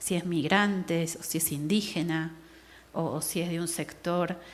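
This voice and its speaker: Audible room echo surrounds a woman who speaks at a fairly slow pace with a fairly low pitch. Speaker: anthropologist. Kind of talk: lecture.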